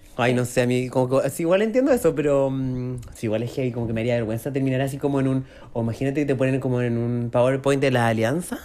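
The speech races along very fast with hardly any pauses, over noticeable background noise. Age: 30s. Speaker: podcast host. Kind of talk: casual chat.

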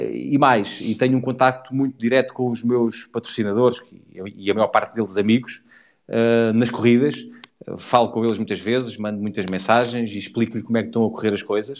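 Big swings in loudness over a quiet background, with fairly even intonation. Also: man, medium pitch for a man, fairly quick pace. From Portugal, near Portalegre. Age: 40s. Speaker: motorcycle rally rider. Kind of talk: casual interview. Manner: halting, repeats words.

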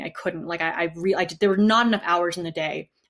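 With an American accent and an ordinary speaking voice, a woman talks at a fairly quick pace with ordinary pitch variation. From US Northeast, New Haven, Connecticut. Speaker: activist and university student. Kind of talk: interview.

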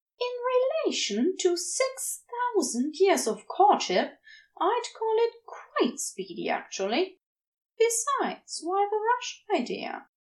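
The speaker uses a put-on character voice. The pace is slow and the pitch swings a lot. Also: woman, extremely high pitch for a woman.

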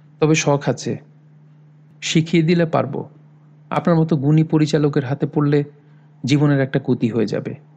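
Somewhat breathy and dark, mellow in tone, a man's fairly high voice holds a fairly even intonation. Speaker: audiobook narrator. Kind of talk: reading aloud.

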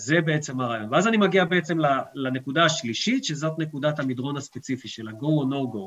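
At a fairly quick pace, a man with a plain, everyday voice speaks at fairly high pitch with lively intonation. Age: 40s. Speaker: mountain and off-piste ski guide. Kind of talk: expert interview.

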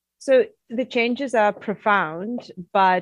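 A woman with a Russian accent is heard in a dry, close sound with no echo over a quiet background. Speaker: mining company CEO, geologist. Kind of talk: interview answers.

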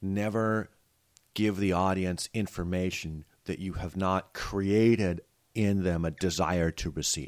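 A man with a very deep, low pitch speaks at a fairly slow pace with ordinary pitch variation, recorded very cleanly against a silent background. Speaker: electrician and former sketch comedian. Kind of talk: casual chat.

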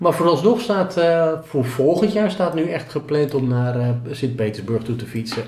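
A man speaks at a moderate pace in a fairly high pitch. His intonation is lively and his voice somewhat breathy. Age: 50s. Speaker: self-employed sales trainer and cyclist. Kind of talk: interview.

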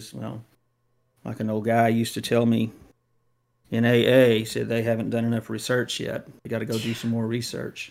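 A man with an American accent at a medium pitch, speaking at a moderate pace in a flat monotone, with long and frequent pauses. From Texas. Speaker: podcast co-host. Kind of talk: casual chat.

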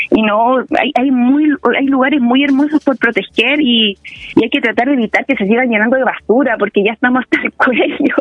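A woman speaks in a high-pitched voice over noticeable background noise. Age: 30s. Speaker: political candidate and community organizer. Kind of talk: interview.

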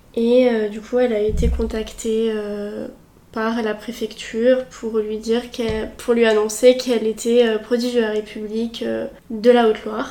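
A woman speaks fairly slowly in a fairly high, monotone, flat voice. Noticeable background noise runs underneath. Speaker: student association vice-president. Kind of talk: casual interview. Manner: hesitant, many fillers.

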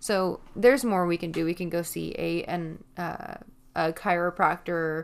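A woman speaks at a fairly slow pace in a fairly low voice. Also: fairly even intonation. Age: 30s. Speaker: podcast host. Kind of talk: solo monologue. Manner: halting.

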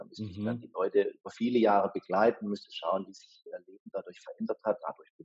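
Dry and close with no echo, a man speaks at a fairly quick pace. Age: 40s. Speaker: venture capital investor. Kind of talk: interview.

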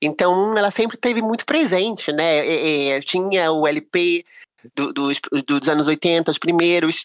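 An unremarkable speaking voice at a fairly slow pace, ordinary pitch variation, dry and close with no echo. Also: woman, fairly low pitch for a woman. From Brazil, Rio de Janeiro. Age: 40s. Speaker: singer-songwriter. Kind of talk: casual chat.

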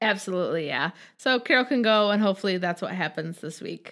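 An animated woman speaks with ordinary pitch variation. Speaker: podcast host. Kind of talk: casual chat. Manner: animated, excitable.

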